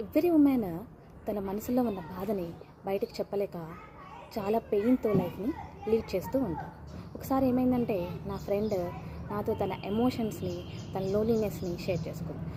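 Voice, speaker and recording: Through noticeable background noise, a woman speaks with a medium pitch. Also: ordinary pitch variation. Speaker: emotional support companion for women. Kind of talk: personal video message. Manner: gentle.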